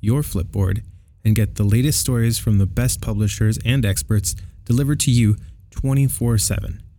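A man talks at a moderate pace in an unremarkable speaking voice. His pitch is fairly low, with ordinary variation. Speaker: podcast co-host. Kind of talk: casual chat.

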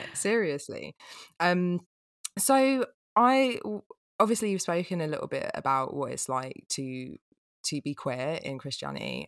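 A woman with an English accent at a fairly slow pace, with long, frequent pauses. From England. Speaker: podcast co-host. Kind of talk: casual interview chat.

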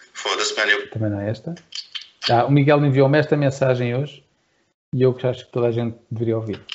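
The delivery runs at a fairly quick pace yet holds long, frequent pauses, somewhat breathy and with fairly even intonation. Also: man, medium pitch for a man. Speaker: podcast co-host and musician. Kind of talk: casual chat.

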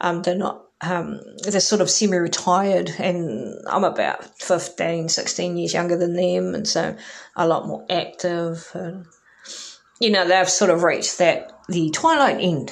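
A fairly slow voice in a New Zealand accent, with ordinary pitch variation and audible room echo. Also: woman, fairly low pitch for a woman. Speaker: podcast host. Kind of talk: solo monologue. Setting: home recording. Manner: hesitant, many fillers.

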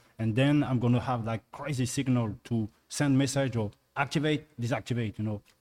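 Using a plain, everyday voice, a man speaks at a moderate pace and medium pitch with fairly even intonation. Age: 40s. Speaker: dunker, mobility coach. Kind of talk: round-table discussion.

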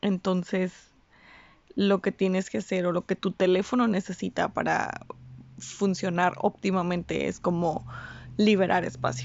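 A woman at medium pitch, with ordinary pitch variation and a fairly slow pace. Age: 20s. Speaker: podcast host. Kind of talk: personal monologue. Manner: casual, hesitant.

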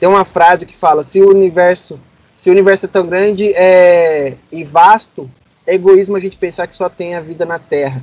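A man with a high pitch speaks at a moderate pace and fairly even intonation. His loudness swings widely. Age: 20s. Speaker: physics graduate. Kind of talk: casual chat.

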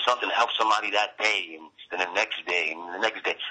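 Speaking in a New York accent, a man keeps a fairly quick pace. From Brooklyn, New York. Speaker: poet. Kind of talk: interview. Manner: halting, many fillers.

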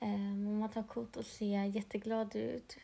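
A woman speaks at a fairly high pitch. Her voice is somewhat breathy, with a dark, mellow tone. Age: 30s. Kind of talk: personal testimony monologue.

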